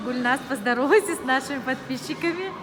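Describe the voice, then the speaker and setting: Audible room echo and noticeable background noise surround a woman talking. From Dagestan, Derbent (Tabasaran). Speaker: vlogger. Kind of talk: casual vlog chat while walking. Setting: outdoors and in a shopping arcade.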